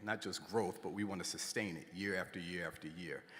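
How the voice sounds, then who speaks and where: Noticeable background noise is present throughout. Over it, a man speaks at a moderate pace, his pitch varying in an ordinary way. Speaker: school principal and commencement speaker. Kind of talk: commencement speech.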